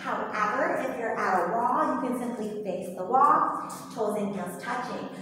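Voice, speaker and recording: Strong room echo and light background noise surround a woman whose pitch varies in an ordinary way. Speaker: movement instructor. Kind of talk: tutorial. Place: gym. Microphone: camera far.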